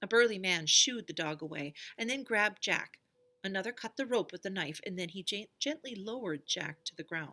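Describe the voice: The passage gets plain reading aloud, its intonation lively.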